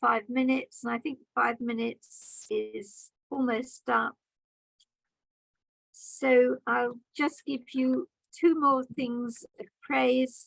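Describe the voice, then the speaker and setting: A woman speaks very slowly with a British accent, her pitch high. The recording is dry and close, without echo. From Britain. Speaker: grammarian at a speaking club meeting. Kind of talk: meeting evaluation feedback. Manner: formal.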